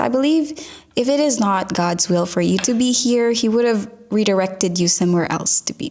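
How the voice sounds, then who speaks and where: Amid noticeable background noise, a woman speaks at a moderate pace in a medium pitch with a warm tone. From Philippines. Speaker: podcast host. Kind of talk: podcast advice monologue. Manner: warm, encouraging.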